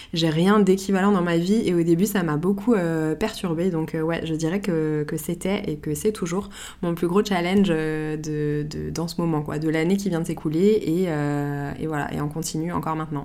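Speaking in a normal speaking voice, a woman keeps a fairly low pitch and fairly even intonation at a moderate pace, with hardly any pauses. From Paris, France. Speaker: podcast host, photographer. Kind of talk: solo podcast monologue, answering listener questions.

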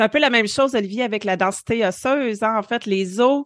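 This speaker has a Quebec accent. The sound is dry and close with no echo, over a quiet background. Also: woman. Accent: Québécois French. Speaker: family physician and podcast co-host. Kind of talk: casual chat.

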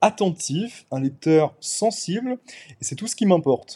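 A man's dark, mellow tone comes with very wide pitch swings at a very slow pace. The sound is dry and close with no echo. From Paris suburbs, France. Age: 20s. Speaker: novelist. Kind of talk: interview.

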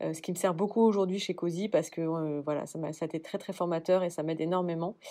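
A woman's fairly low voice, fairly quick and monotone, with flat intonation. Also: very clean recording, silent background. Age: 30s. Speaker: cosmetics brand co-founder. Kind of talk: interview.

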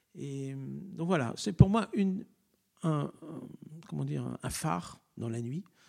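A man talks at a very slow pace, with long, frequent pauses and big swings in loudness. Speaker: choir director. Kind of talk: interview. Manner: halting.

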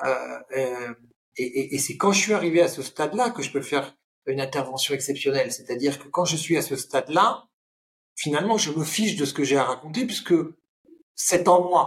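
A man's fairly high voice with lively intonation, a moderate pace and long, frequent pauses. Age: 50s. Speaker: public speaking coach and trainer. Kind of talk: casual interview.

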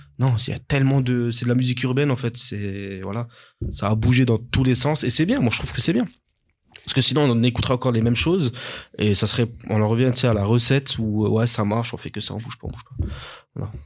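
Very fast pace from a man at medium pitch with fairly even intonation. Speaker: beatmaker and music producer. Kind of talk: casual chat.

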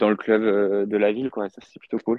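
Moderate-paced speech from a man, fairly low in pitch, with monotone, flat intonation. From France, Moselle. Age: 20s. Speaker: amateur endurance athlete. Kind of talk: podcast interview. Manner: hesitant.

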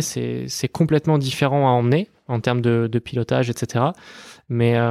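In a plain, everyday voice, a man talks at a moderate pace and medium pitch. His intonation is fairly even, and the sound is dry and close with no echo. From western France, Les Sables d'Olonne. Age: 20s. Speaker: racing driver. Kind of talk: interview.

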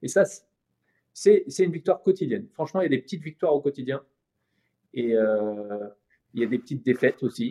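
This man's voice is fairly high yet dark and mellow in tone, with very wide pitch swings and a fairly quick pace broken by long, frequent pauses. The sound is dry and close, with no echo. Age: 40s. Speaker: animation studio co-founder. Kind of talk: interview.

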